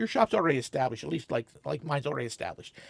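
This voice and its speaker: A man speaks at medium pitch in an animated tone with vocal fry and ordinary pitch variation. The sound is dry and close, with no echo. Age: 60s. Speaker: comic shop owner, entrepreneur. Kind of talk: interview. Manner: halting.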